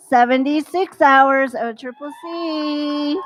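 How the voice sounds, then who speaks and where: High-pitched woman speaking very slowly with ordinary pitch variation, music in the background. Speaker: school staff presenting graduation awards. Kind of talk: ceremony announcements, reading names.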